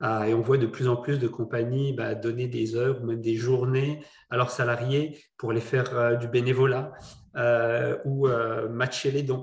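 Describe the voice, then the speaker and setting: Medium in pitch and somewhat breathy, a man speaks at a fairly slow pace. His intonation stays monotone and flat. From not from Quebec. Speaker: entrepreneur, charity board member. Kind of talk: panel discussion. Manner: halting, many repetitions.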